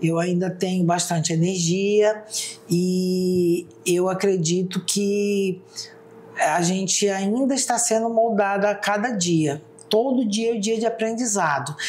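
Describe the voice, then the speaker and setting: A woman with a medium pitch and ordinary pitch variation talks at a very slow pace, keeping her loudness very even. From Brazil, Roraima (Mucajaí). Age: 60s. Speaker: public defender and former teacher. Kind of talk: interview.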